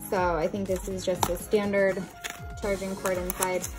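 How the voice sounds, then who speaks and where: A woman speaks at a moderate pace with clear music in the background. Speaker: product reviewer. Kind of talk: unboxing product review. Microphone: phone near.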